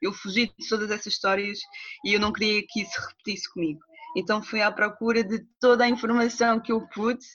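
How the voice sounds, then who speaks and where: This woman speaks at a fairly quick pace. Her pitch is fairly high. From Portugal, Cascais (Angolan family). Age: 30s. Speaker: doula. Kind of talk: personal testimony in interview. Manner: hesitant, many fillers.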